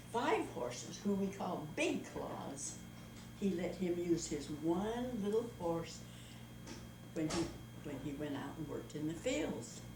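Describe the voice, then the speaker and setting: Against noticeable background noise, a woman with a fairly low pitch talks very slowly, using lively intonation and long, frequent pauses. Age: 80s+. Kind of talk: fairy tale told aloud. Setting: home video recording.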